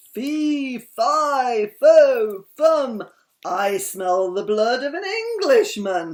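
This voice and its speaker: Putting on a character voice, a man bellows at an extremely high pitch in a menacing tone and a very slow pace. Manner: roaring, menacing.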